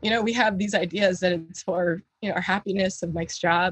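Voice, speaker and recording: A somewhat breathy woman's voice at medium pitch with an American accent, dry and close with no echo. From US South, Florida Gulf Coast (Bradenton). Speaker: health coach. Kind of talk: interview conversation.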